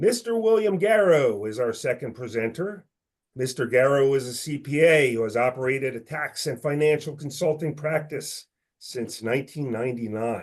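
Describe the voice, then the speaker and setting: A man with a plain, everyday voice speaks at a moderate pace with lively intonation and fairly high pitch, over a quiet background. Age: 50s. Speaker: financial firm managing director, webinar opener. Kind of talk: webinar introduction. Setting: webinar. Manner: formal.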